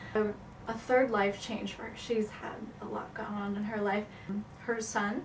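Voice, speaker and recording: A woman with a fairly high pitch speaks in a monotone, flat way at a moderate pace. The recording has audible room echo and noticeable background noise. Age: 20s. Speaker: psychology student. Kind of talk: class project presentation.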